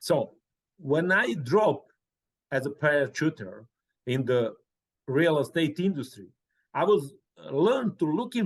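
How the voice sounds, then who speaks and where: Speaking at a fairly slow pace with a Serbian accent, a man uses a fairly high pitch with very wide pitch swings and long, frequent pauses. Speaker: real estate professional. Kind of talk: interview. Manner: halting.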